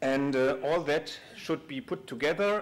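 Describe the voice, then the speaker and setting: Speaking fairly slowly with lively intonation, a man talks in a German accent. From Germany. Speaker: conference speaker, big data engineer at a bank. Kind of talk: conference talk. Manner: halting, many fillers.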